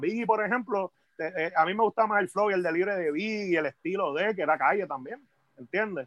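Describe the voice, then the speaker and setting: A man with a Puerto Rican accent speaks at a high pitch and a moderate pace, with ordinary pitch variation. The sound is dry and close with no echo, over a quiet background. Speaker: hip hop MC. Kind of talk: casual chat.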